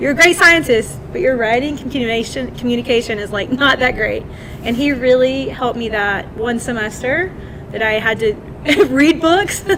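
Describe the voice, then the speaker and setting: A woman's high-pitched voice in a Southern US accent, lively in intonation at a moderate pace, over noticeable background noise. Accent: Southern US (Georgia). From Georgia, US South. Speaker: scientist. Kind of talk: panel discussion. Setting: live event with online audience.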